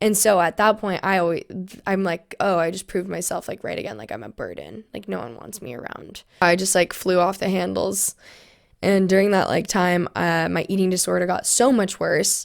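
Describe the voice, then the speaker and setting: Recorded very cleanly against a silent background, a woman with an American accent talks at a medium pitch with vocal fry, ordinary pitch variation and big swings in loudness. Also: moderate pace. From US West Coast (California). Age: 20s. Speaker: podcast guest sharing personal story. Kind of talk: testimony. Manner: casual, frequent fillers.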